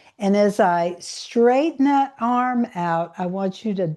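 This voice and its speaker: A woman's dark, mellow voice with lively intonation, at a very slow pace against a quiet background. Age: 60s. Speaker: yoga instructor. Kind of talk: guided exercise class. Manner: soft-spoken.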